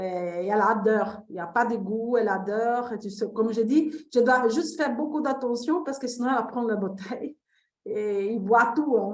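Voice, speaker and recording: A woman with a non-native accent, fairly high in pitch, with ordinary pitch variation and a moderate pace. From Brazil. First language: Portuguese (speaking French). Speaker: testimonial participant. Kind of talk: testimony. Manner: halting.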